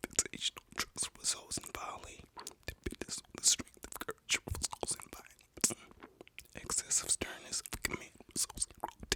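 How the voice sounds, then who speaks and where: A man whispering, with big swings in loudness, a dry, close sound with no echo, and noticeable background noise. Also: moderate pace. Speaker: ASMR creator and host. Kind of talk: ASMR whisper reading of a book. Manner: whispered, soft-spoken.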